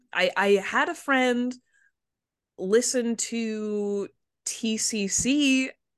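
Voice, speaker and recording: A woman is heard against a quiet background. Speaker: game master. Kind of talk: casual chat.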